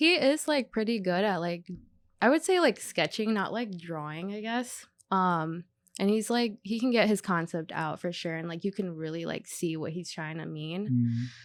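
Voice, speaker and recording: Over a very clean recording with a silent background, a woman speaks at medium pitch and a moderate pace, her intonation lively. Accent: American. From Southern California, San Diego. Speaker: artist and designer. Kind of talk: casual chat. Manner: casual, filler-heavy ('like', 'um').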